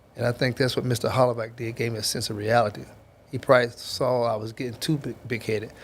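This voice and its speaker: A man speaks very fast in a somewhat breathy voice, his intonation flat and monotone. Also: medium pitch for a man. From Kentucky, Louisville. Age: 60s. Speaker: football coach, former NFL player. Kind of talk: podcast interview.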